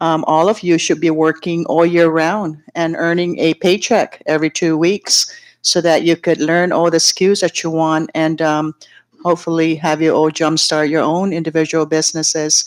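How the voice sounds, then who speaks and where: At a moderate pace, a woman speaks with monotone, flat intonation and very even loudness. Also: fairly low pitch for a woman. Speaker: senator. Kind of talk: formal address.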